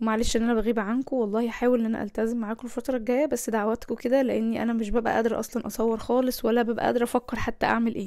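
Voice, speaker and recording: Speaking with an Egyptian accent, a woman at fairly high pitch delivers a dark, mellow tone at a very fast pace, with monotone, flat intonation and hardly any pauses. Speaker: lifestyle vlogger. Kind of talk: cooking vlog narration. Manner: casual, conversational.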